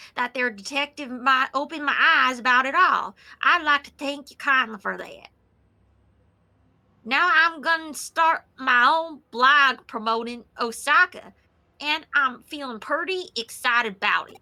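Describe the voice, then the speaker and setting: A woman uses a put-on character voice, high in pitch, at a moderate pace on a very clean recording with a silent background. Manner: exaggerated, enthusiastic.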